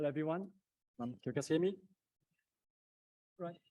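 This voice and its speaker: In a non-native accent, a man speaks with a dark, mellow tone and ordinary pitch variation, the sound dry and close with no echo. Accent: foreign accent in English. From Taiwan. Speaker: company founder and CEO. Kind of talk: conference presentation. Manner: hesitant, many fillers.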